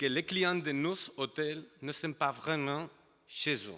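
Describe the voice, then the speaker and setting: At a very slow pace, a man with a strong Catalan accent speaks in a bright, sharp tone on a very clean recording with a silent background. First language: Catalan or Spanish (speaking French). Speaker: hotel industry representative. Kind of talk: panel talk.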